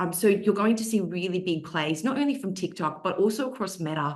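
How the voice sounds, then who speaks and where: With an Australian accent, a woman talks at a medium pitch. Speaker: social media marketing expert, panelist. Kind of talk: webinar panel discussion. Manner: casual, with frequent fillers.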